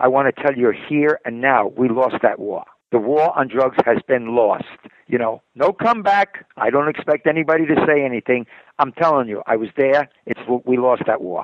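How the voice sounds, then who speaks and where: With a New York accent, a man talks at a moderate pace with ordinary pitch variation. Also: medium pitch for a man. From New York City. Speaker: retired police detective. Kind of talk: interview. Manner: halting.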